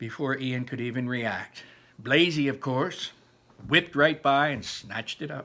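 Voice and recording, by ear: The speaker is reading aloud in a natural voice with fairly even intonation.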